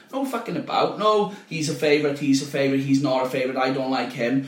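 With noticeable background noise and audible room echo, a man talks at a very fast pace, fairly high in pitch, with lively intonation. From South Wales valleys, near Llantrisant. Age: 30s. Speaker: football league secretary. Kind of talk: casual chat.

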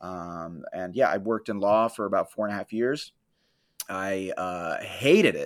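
A man with an American accent uses a normal speaking voice, fairly low in pitch with ordinary pitch variation, at a moderate pace in a very clean recording with a silent background. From Florida. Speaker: comedian and tour guide. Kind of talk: casual interview chat. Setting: studio without AC.

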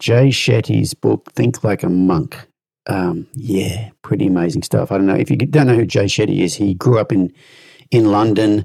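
A man with an Australian accent, fairly low pitch, dark, mellow tone and vocal fry, lively intonation at a moderate pace, very even loudness, and a dry, close sound with no echo. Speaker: horse trainer and podcast host. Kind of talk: interview.

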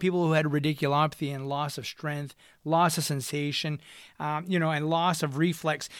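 A man with a slight French accent, fairly high in pitch, animated in tone, at a moderate pace, on a very clean recording with a silent background. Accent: slight French-accented American English. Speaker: physical therapist and podcast host. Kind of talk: educational monologue. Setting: home studio microphone. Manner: animated, hesitant with many fillers.

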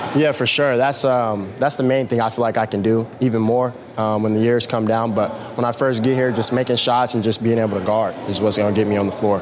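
A man speaks at a fairly quick pace and medium pitch, in a monotone, flat intonation with very even loudness. Noticeable background noise runs behind him. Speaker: college basketball player, draft prospect. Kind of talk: post-workout interview. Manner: halting.

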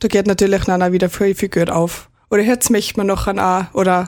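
Here a woman with a plain, everyday voice speaks at a medium pitch and a fairly quick pace. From Austria, Pongau (St. Johann, Salzburg). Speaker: rural youth club member. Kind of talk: radio interview.

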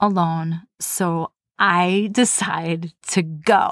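A woman with a fairly low pitch and ordinary pitch variation, dry and close with no echo, on a very clean recording with a silent background. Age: 40s. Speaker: podcast host. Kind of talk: personal storytelling. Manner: animated.

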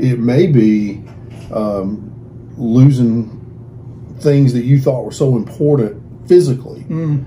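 In a Southern US accent, a man talks very slowly with long, frequent pauses, a medium pitch and ordinary pitch variation, and audible room echo surrounds his voice. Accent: Southern US (Georgia). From US South (Georgia). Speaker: pastor. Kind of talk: interview.

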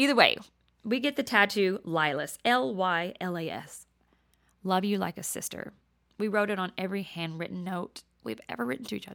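Over a very clean recording with a silent background, a woman with an American accent speaks at a moderate pace and medium pitch, with lively intonation and big swings in loudness. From Texas. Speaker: podcast host. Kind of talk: casual solo podcast intro monologue. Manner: excited, nervous, animated, laughing often.

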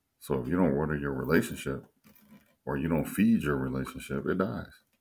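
A very deep, low-pitched man with vocal fry, ordinary pitch variation and a moderate pace. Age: 40s. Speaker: podcast guest, host's partner. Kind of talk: casual chat.

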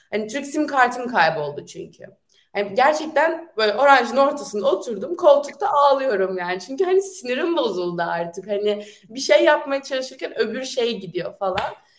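A woman talks in a high pitch, her voice swinging very widely in pitch and shifting greatly in loudness. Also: moderate pace. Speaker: university student. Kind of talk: casual interview. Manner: animated.

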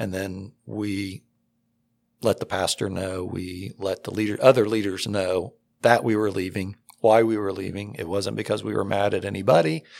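In a very clean recording with a silent background, a man with an American accent talks in a fairly low pitch with fairly even intonation. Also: moderate pace. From central Ohio, US Midwest. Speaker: church elder and school board head. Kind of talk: testimony interview.

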